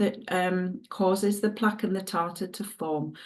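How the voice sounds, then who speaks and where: Speaking in a Northumbrian accent, a woman has a dark, mellow tone at medium pitch. She keeps a moderate pace. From northern England, Northumberland. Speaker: dog groomer and product distributor. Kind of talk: sales presentation. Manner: casual, chatty.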